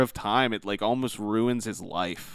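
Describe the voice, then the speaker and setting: A man speaks with a Pittsburgh accent. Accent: Pittsburgh American. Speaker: gaming podcast co-host. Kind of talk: casual chat.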